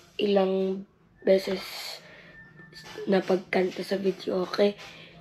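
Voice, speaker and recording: Noticeable background noise sits behind a woman's voice. She speaks at a medium pitch and a very slow pace. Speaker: vlogger. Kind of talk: vlog talk to camera.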